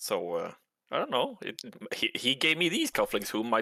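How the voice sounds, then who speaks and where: The sound here is dry and close, with no echo. A man is speaking at a moderate pace. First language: not English. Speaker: tabletop role-play player. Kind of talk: in-character role-play chat.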